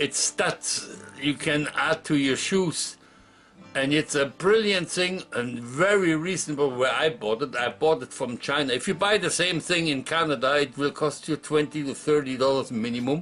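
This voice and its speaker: A man's fairly high voice at a moderate pace, with ordinary pitch variation and music in the background. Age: 60s. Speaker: retiree vlogger. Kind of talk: casual vlog monologue. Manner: halting.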